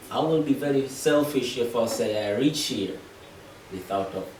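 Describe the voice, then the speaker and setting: With an East African accent and lively intonation, the speaker goes at a fairly slow pace amid noticeable background noise and audible room echo. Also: man. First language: Swahili. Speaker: family member giving a speech. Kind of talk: speech at a family gathering. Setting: family dinner table.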